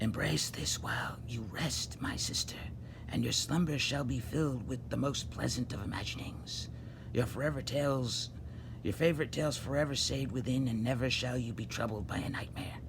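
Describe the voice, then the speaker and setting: Over loud background noise, a man does a put-on character voice at medium pitch and a moderate pace. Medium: read story.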